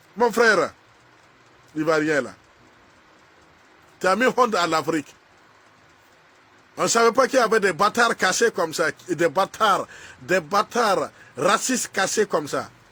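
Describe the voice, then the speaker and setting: With a non-native accent, a man speaks in an animated, bright, sharp tone at a fairly slow pace, with very wide pitch swings and long, frequent pauses, the sound dry and close with no echo. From Burkina Faso. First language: a Burkinabe language, not French (speaking French). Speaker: social media commentator. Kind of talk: angry video rant addressed to someone. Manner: halting.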